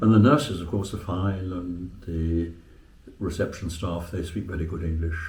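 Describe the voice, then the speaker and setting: A somewhat breathy man's voice, very deep and low in pitch, at a moderate pace. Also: ordinary pitch variation. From Western England. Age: 80s+. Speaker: retired English teacher. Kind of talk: interview answer. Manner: hesitant, halting.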